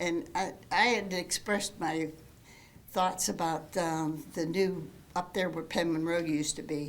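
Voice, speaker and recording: The speaker has an American accent and fairly even intonation. The pace is fairly slow, and room echo is audible. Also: woman, fairly low pitch for a woman. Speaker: resident speaking at public comment. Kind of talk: public comment at council meeting. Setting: council meeting room. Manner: halting.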